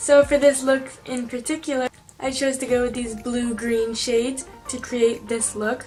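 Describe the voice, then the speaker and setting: A woman speaks in a high pitch at a moderate pace. Her intonation stays fairly even, with music in the background. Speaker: beauty YouTuber. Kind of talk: makeup tutorial narration.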